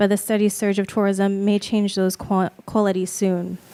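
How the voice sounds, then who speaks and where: Mumbling in a monotone, flat delivery, a woman speaks at a medium pitch. Her tone is dark and mellow, and the sound is dry and close with no echo. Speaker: MFA fiction writer. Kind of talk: reading aloud. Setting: stage with audience.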